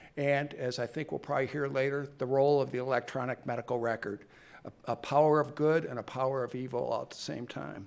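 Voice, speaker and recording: Speaking very fast, a man uses an American accent at a medium pitch. His intonation is monotone and flat. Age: 60s. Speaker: physician and researcher. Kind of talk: conference talk.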